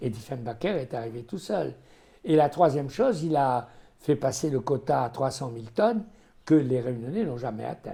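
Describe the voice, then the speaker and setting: A man's somewhat breathy voice at a medium pitch and moderate pace, with lively intonation. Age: 80s+. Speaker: former newspaper owner and political adviser. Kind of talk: interview answer.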